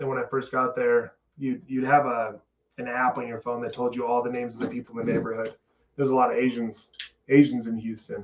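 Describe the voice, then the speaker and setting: A man with an American accent talks at a very fast pace. His medium-pitched voice stays monotone and flat. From Utah, Salt Lake City. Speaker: podcast guest. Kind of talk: casual chat. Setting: studio.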